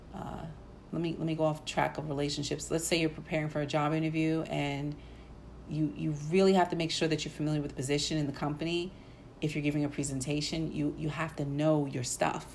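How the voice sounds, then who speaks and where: A woman talks at a very fast pace with a very deep, low pitch. Her intonation is monotone and flat, and the room echo is audible. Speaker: podcast host. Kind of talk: solo podcast talk. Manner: many fillers uh and um.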